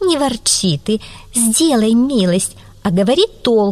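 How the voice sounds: The intonation here is lively. It comes through a natural reading voice.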